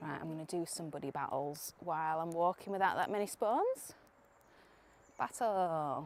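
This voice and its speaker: At a fairly slow pace, a woman speaks in a fairly low voice with ordinary pitch variation. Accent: British. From UK. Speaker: streamer. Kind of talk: live stream commentary. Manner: casual, chatty.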